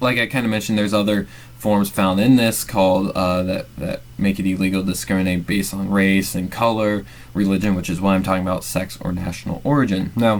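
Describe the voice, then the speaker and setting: Amid noticeable background noise, the speaker talks at a fairly quick pace with ordinary pitch variation. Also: man, fairly low pitch for a man. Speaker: MBA student presenter. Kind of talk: narrated class presentation. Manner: halting, many fillers.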